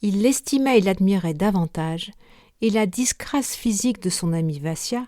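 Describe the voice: The recording is of plain reading aloud.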